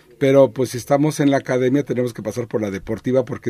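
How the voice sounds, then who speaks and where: Here a man speaks at a medium pitch with ordinary pitch variation. His tone is dark and mellow. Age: 60s. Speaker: archaeologist. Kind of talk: radio interview.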